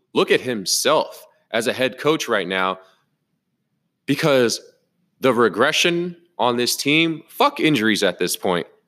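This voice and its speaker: A furious man with a bright, sharp tone and very wide pitch swings, at a fairly slow pace with long, frequent pauses, on a very clean recording with a silent background. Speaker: football podcast host. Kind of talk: angry post-game rant. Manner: furious, loud, profane, ranting; emphatic, repetitive, exasperated.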